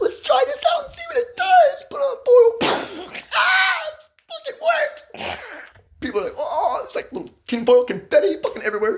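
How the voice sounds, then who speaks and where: This man's voice sits extremely high, with very wide pitch swings, big swings in loudness, and long, frequent pauses. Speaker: vlogger telling personal grievances. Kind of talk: casual monologue. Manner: pressured, rapid speech.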